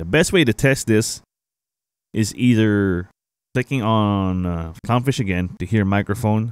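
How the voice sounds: This man's clear, smooth voice sits fairly low, with ordinary pitch variation and a fairly slow pace.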